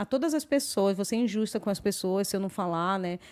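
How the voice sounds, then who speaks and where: A woman with a medium-pitched voice talks on a very clean recording with a silent background. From Brazil, Belém do Pará. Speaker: podcast host. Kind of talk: casual chat. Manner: hesitant fillers.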